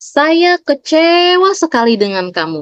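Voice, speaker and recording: A woman puts on a character voice at an extremely high pitch. Her pitch swings very widely. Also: fairly slow pace. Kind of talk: scolding. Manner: disappointed, reproachful.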